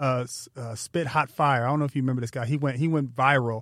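A man with an ordinary speaking voice and an American accent, talking at a fairly quick pace with fairly even intonation, on a very clean recording with a silent background. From Pasadena, California. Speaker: podcast host. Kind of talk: interview. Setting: studio.

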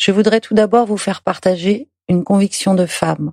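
At a moderate pace, a woman with an unremarkable speaking voice talks at medium pitch with fairly even intonation, in a dry, close sound with no echo. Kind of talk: reading aloud a letter.

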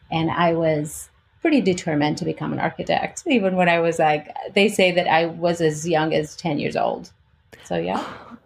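A woman speaks with a fairly low pitch and vocal fry. Her pace is moderate. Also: fairly even intonation. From Albania and Greece. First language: Albanian or Greek. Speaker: architect. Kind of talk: interview.

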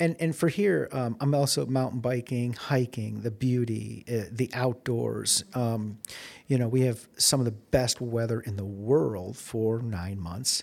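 In a very clean recording with a silent background, a man speaks in an ordinary speaking voice at medium pitch with ordinary pitch variation. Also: fairly slow pace. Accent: American. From Chicago, US Midwest. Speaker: economic development executive. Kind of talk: interview. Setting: in-person recording at a conference.

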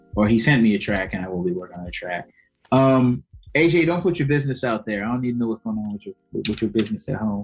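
A man with an American accent talks at a very fast pace, his medium-pitched voice rising and falling in lively intonation over music in the background. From Maryland, Prince George's County. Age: 30s. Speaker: rapper. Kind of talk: casual interview.

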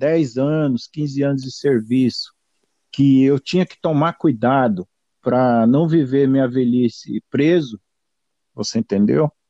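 With a fairly high pitch and a dark, mellow tone, a man speaks at a fairly slow pace with ordinary pitch variation in a dry, close sound with no echo. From Brazil, São Paulo. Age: 50s. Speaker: retired police officer. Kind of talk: interview. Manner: halting.

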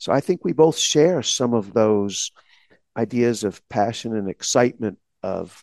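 With an American accent, a man in an unremarkable speaking voice talks fairly slowly at medium pitch, the sound dry and close with no echo. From Texas, small town. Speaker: law school dean, podcast co-host. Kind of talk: casual chat.

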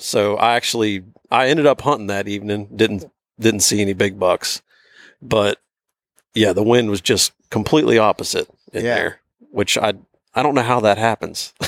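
The speech moves at a moderate pace with long, frequent pauses and ordinary pitch variation. The sound is dry and close, with no echo. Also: man, fairly low pitch for a man. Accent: American. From northern West Virginia. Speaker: hunter. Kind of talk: casual chat. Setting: outdoors.

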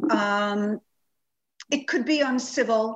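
In a New York accent, a woman speaks at a very slow pace. Her pitch is fairly high. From Long Island, New York. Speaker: children's book author. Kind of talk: interview.

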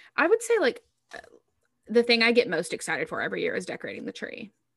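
A woman speaks with an American accent. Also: dry, close sound with no echo. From US South. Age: 20s. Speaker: podcast co-host. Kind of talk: casual chat. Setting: recorded on video. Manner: animated.

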